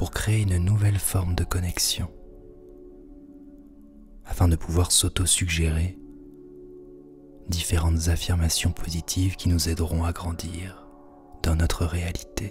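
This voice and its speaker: Over background music, a man with a very deep, low voice speaks in a calm, soothing tone at a fairly slow pace, with fairly even intonation and long, frequent pauses. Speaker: hypnosis practitioner and guided meditation host. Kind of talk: guided hypnosis / relaxation session. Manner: calm, slow, soothing.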